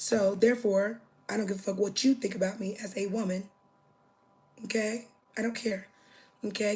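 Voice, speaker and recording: A woman's somewhat breathy, fairly high voice. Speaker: livestreamer. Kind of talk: casual livestream chat. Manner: animated.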